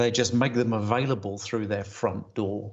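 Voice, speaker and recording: Speaking at a moderate pace, a man talks with an English accent. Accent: English-sounding (sounds like a Brit). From Germany. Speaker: retail industry consultant. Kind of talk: conference presentation. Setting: video call from home study. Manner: hesitant, many fillers.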